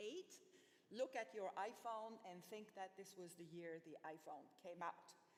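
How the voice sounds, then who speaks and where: The pace is moderate and the pitch varies in an ordinary way, delivered in a plain, everyday voice. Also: woman. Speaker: research infrastructure speaker. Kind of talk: conference talk.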